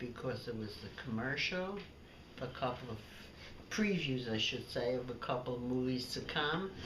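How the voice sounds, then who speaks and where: A woman with a New York accent speaks at a moderate pace with a very deep, low pitch and very wide pitch swings. Long, frequent pauses come through amid audible room echo and noticeable background noise. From Brooklyn, New York. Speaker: elderly woman recounting childhood memories. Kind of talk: family storytelling, reminiscence.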